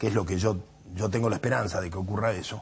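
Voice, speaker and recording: A man's somewhat breathy voice. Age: 70s. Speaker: political activist. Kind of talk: TV interview. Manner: halting with fillers.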